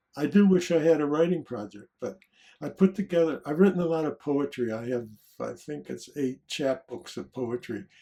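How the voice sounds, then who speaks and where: A man with an American accent, a fairly high pitch and a dark, mellow tone, with lively intonation, big swings in loudness and a moderate pace. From US Midwest, Detroit, Michigan. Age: 80s+. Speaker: psychologist and author. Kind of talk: interview conversation. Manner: reflective, with filler words.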